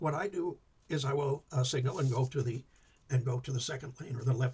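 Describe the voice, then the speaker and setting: A man with an American accent mumbles quietly at a fairly quick pace, somewhat breathy, his medium pitch held in fairly even intonation. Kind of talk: instructional talk. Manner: quiet, mumbling; hesitant, many fillers.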